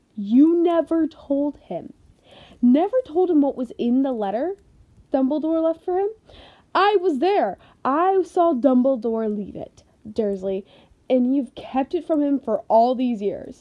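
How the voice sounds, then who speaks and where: In a put-on character voice, a woman speaks high, shaky and raised, projecting at a fairly slow pace with very wide pitch swings. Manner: trembling with rage.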